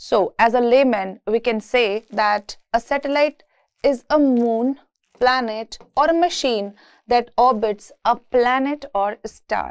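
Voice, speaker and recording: The voice moves at a very slow pace with very even loudness and ordinary pitch variation. The background is quiet. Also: woman, high pitch for a woman. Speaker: university lecturer. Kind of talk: lecture.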